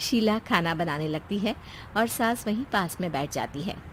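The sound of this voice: The delivery has lively intonation and moves at a moderate pace. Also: woman, fairly low pitch for a woman.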